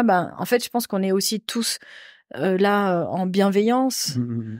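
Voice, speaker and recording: A woman speaks at a very slow pace. The sound is dry with no echo, over a quiet background. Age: 40s. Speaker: nurse, coaching participant. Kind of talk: casual chat. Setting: on a sofa, in-person recording. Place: home room. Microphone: handheld.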